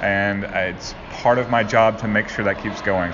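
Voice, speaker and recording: With audible room echo and noticeable background noise, a man speaks at a moderate pace and a fairly low pitch with ordinary pitch variation. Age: 30s. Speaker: arcade community liaison. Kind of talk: interview.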